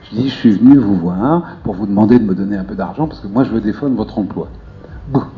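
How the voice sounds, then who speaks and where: With music playing behind him, a man speaks very fast with lively intonation. His pitch is fairly low. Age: 50s. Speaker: debate participant. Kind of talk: public group discussion.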